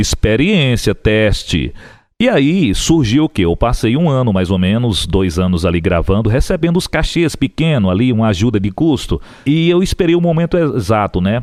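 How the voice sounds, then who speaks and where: The recording is very clean, with a silent background. A man talks at a moderate pace and very even loudness, his medium-pitched voice making very wide pitch swings. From Piauí, Brazil. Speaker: radio broadcaster and TV booth announcer. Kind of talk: interview answer, casual conversation telling career story.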